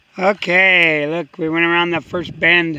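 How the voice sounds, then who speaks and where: A man speaks at a very slow pace with fairly even intonation. Noticeable background noise runs behind him. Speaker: hiker vlogger. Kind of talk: walking vlog narration. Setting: outdoors. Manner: halting.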